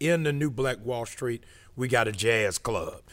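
This man has an unremarkable speaking voice at medium pitch with ordinary pitch variation. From Massachusetts and Baltimore. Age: 50s. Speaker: pastor. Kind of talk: podcast interview. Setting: studio.

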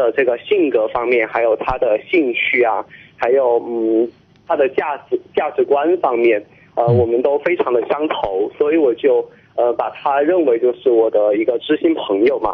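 Noticeable background noise sits behind a man's voice. He keeps a moderate pace and very even loudness. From Chongqing. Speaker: university student. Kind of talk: phone-in call. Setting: phone call. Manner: halting.

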